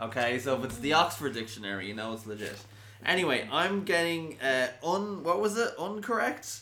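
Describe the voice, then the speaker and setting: In an Irish accent, the speaker moves at a moderate pace with very wide pitch swings, over noticeable background noise. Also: man, fairly high pitch for a man. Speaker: podcast co-host. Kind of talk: casual chat. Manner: tired.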